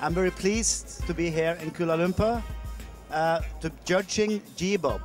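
The voice moves at a fairly slow pace, with a dry sound with no echo and clear music in the background. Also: man. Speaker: contest judge. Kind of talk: interview answer. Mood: friendly, smiling. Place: hall. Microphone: handheld.

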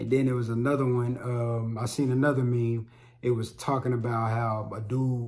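Somewhat breathy, a man talks at a moderate pace in a monotone, flat intonation. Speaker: vlogger, podcaster. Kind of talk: casual vlog chat. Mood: reflective, relaxed. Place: home room.

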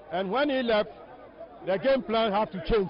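A man speaks at a high pitch. Crowd noise fills the background. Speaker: football coach. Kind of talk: post-match interview.

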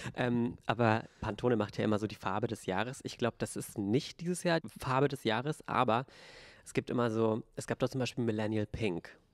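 A man speaks at a fairly quick pace, with a medium pitch and ordinary pitch variation. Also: quiet background, dry sound with no echo. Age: 20s. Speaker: podcast co-host. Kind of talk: casual chat. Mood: relaxed, animated. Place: studio. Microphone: handheld.

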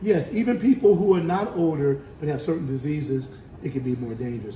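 A man with a fairly high voice at a moderate pace, with audible room echo and light background noise. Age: 70s. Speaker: bishop. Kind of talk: casual chat. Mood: calm, reassuring. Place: home room. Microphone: phone near.

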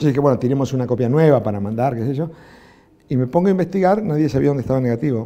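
The speaker talks at a very fast pace with ordinary pitch variation. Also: man. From Argentina. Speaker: film director; interviewee. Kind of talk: interview. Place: studio. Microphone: lapel.

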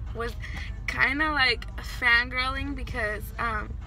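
A woman's voice sounds dry with no echo, with faint music playing in the background. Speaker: vlogger. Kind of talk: casual vlog chat. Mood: happy, excited. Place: car. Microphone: phone near.

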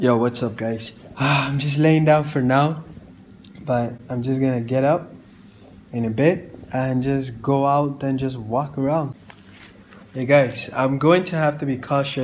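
Speaking at a fairly slow pace with long, frequent pauses, a man keeps his intonation fairly even over light background noise. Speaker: travel vlogger. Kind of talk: casual vlog chat. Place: home room. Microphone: phone near.

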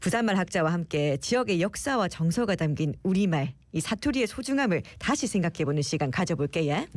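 A woman speaks with a fairly low pitch and very wide pitch swings. The recording is very clean, with a silent background. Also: fairly quick pace, very even loudness. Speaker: radio host. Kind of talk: radio show hosting.

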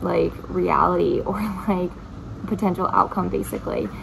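Noticeable background noise behind a woman speaking. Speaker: spiritual topic vlogger. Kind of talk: casual explanatory vlog talk. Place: home room. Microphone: phone near.

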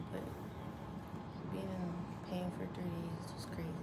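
A woman over loud background noise. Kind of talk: casual vlog chat. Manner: slow, drained, low-energy voice. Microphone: camera far.

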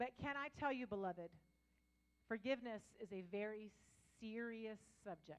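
The speaker has an animated tone and ordinary pitch variation. The pace is moderate, broken by long, frequent pauses. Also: woman, fairly high pitch for a woman. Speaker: pastor. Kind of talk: sermon. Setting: church with live congregation. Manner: loud. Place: church. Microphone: handheld.

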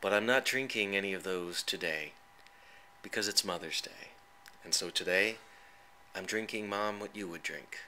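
Over noticeable background noise, a man with a gentle tone speaks at a moderate pace with fairly even intonation and long, frequent pauses. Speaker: poet. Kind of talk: spoken word poetry, reading a personal poem aloud to his late mother. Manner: tender, reflective, halting and emotional; gentle and wistful, with a touch of wry humor.

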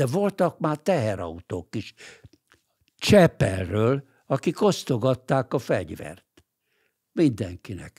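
Against a quiet background, a somewhat breathy man talks very slowly with long, frequent pauses and very wide pitch swings. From Hungary, Budapest; Hungary. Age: 80s+. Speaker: lawyer and political writer; podcast guest. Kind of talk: interview. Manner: halting, with repeated words. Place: studio. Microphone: studio mic.

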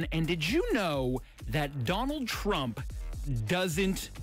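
A man with a fairly high voice speaks in an upbeat, energetic tone, his pitch swinging very widely, over faint background music in a dry recording with no echo. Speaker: radio DJ. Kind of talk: top 40 radio DJ talk. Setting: studio. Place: studio. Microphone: studio mic.

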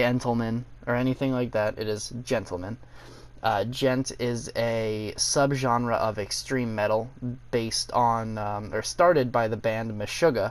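At a fairly slow pace, a man talks at medium pitch with fairly even intonation. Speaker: gaming youtuber. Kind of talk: casual gaming video intro and gameplay commentary. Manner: self-described as not good at talking, uses fillers.

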